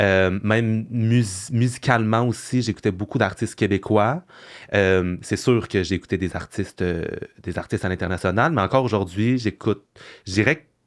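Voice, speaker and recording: A fairly low-pitched man at a moderate pace with ordinary pitch variation, recorded very cleanly against a silent background. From Quebec (Sorel). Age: 20s. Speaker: content creator. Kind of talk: podcast interview. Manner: hesitant, many fillers.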